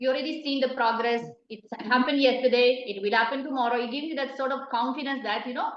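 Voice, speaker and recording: Audible room echo surrounds a woman with an Italian accent who speaks at a fairly quick pace in a high pitch with fairly even intonation. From Italy. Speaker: hula hoop artist. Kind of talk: interview. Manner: hesitant, many fillers.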